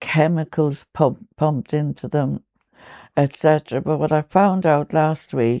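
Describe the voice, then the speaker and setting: A woman's very deep, low, dark and mellow voice in an Irish accent, very slow, with a dry, close sound and no echo. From Ireland. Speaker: poet. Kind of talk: interview answer.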